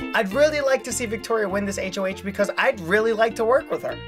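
Someone talks at a very fast pace over clear music in the background. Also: man. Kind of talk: confessional commentary. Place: booth.

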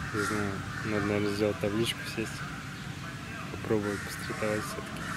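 Loud background noise runs behind a man talking. The sound is dry with no echo. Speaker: hitchhiking traveler. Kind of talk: casual travel vlog narration. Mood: cheerful despite hunger. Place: street. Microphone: phone near.

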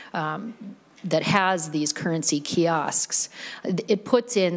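A woman's voice at a fairly low pitch. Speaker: state senator. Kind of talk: bill presentation. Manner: informal, laughs. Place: hall. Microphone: podium.

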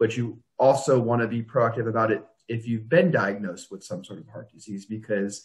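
A man's somewhat breathy voice at medium pitch and moderate pace against a quiet background. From Florida. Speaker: business development director at a home care agency, video series host. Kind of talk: casual conversational web video interview. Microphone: video call.

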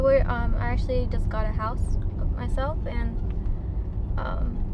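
Speaking at a fairly slow pace, a woman comes through with a dry sound, no echo, and noticeable background noise. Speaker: vlogger. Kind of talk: casual vlog chat. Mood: playful, relaxed. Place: car. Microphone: camera far.

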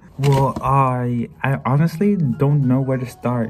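A man talks with ordinary pitch variation while faint music plays behind him. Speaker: culinary student vlogger. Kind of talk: casual vlog chat.

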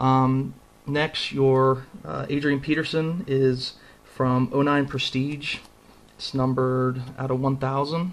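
Monotone and flat, a man's medium-pitched voice moves at a very slow pace. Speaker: trading card collector. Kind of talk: casual video. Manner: casual, conversational, filler-heavy.

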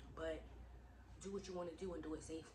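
Loud background noise fills the recording. A woman speaks at a very fast pace. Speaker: vlogger. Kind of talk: casual vlog chat. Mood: earnest, encouraging, frank. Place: home room. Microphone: phone near.

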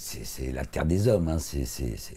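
A man speaks with a dark, mellow tone that is somewhat breathy. His pitch swings very widely. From born in Africa, lived mostly in Italy. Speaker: author and painter, former actor; former actor. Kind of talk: interview. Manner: halting, many repetitions. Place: studio. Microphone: lapel.

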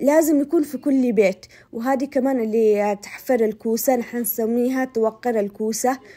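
Speaking at a moderate pace, a woman uses a high pitch with ordinary pitch variation and a dark, mellow tone. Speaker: cooking vlogger. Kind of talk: cooking tutorial and shopping vlog. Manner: chatty, explanatory like a teacher.

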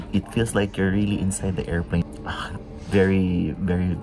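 With noticeable background noise behind him, a man talks at a moderate pace. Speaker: travel vlogger. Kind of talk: casual vlog chat. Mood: relaxed, pleased. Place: cafe.

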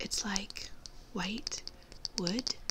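A soft-spoken voice with a gentle tone comes through noticeable background noise. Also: woman. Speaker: beauty vlogger. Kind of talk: casual vlog chat, product review. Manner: soft-spoken, gentle ASMR voice. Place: home room. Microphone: phone near.

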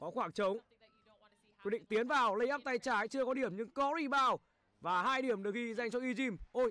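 A man with an extremely high pitch uses a raised, projected voice and a bright, sharp tone. He talks at a fairly quick pace but takes long, frequent pauses. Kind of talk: live sports commentary. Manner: fast, animated play-by-play, calling each shot; casual, chatty, greets viewers warmly.

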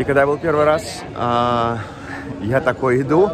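A man talks with crowd noise in the background. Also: dry sound with no echo. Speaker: travel vlogger. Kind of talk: casual vlog chat. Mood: amused, laughing. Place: street. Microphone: phone near.

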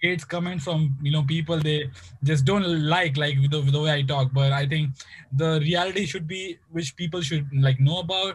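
Speaking at a moderate pace, a man keeps a fairly high pitch and fairly even intonation.

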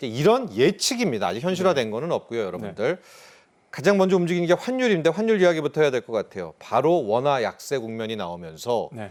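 A man's very fast delivery with very wide pitch swings. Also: fairly high pitch for a man. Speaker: news program host. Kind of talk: news interview.

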